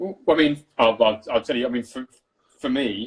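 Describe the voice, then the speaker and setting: In a plain, everyday voice, a man talks at a fairly quick pace with ordinary pitch variation. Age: 30s. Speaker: cinematographer. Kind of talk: casual chat.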